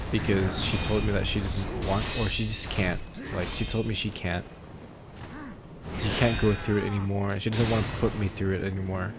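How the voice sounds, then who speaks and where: A man talks with a monotone, flat intonation. Music plays in the background, and the room echo is audible. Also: fairly low pitch for a man, moderate pace. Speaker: gaming youtuber. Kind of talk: casual chat. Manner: halting.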